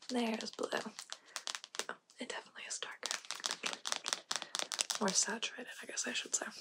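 A woman whispering at a very fast pace. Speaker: ASMR creator. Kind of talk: ASMR roleplay, personal attention, direct instructions. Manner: fast, direct, commanding. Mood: playful, teasing. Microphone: studio mic.

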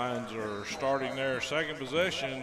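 Clear music plays in the background. A man speaks with fairly even intonation. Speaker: radio sports play-by-play announcer. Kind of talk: radio sports commentary, play-by-play. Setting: stadium broadcast booth, live radio. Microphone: headset.

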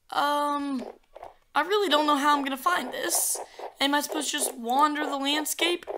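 A woman's raised, projected voice, high-pitched, at a moderate pace with ordinary pitch variation. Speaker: gaming YouTuber. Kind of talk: gameplay commentary. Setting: home recording, screen capture. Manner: casual, filler words.

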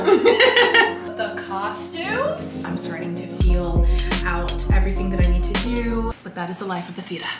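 A woman with an American accent at a fairly slow pace, over loud music in the background, with audible room echo. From Maryland. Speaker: actress. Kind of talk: casual vlog talk to camera. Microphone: phone near.

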